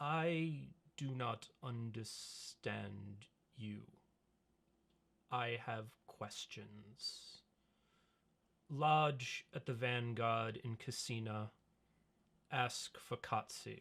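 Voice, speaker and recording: Using a put-on character voice, a man talks at a very slow pace with long, frequent pauses and ordinary pitch variation. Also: medium pitch for a man. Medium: actual play. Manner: terse, clipped.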